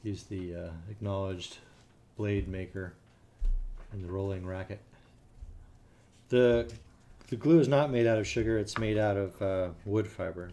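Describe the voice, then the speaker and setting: A man with an American accent, fairly low in pitch with ordinary pitch variation, dark and mellow in tone, relaxed, at a moderate pace with long, frequent pauses. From California. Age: 60s. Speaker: cigar roller streamer. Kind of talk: live stream chat. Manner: relaxed, hesitant with fillers.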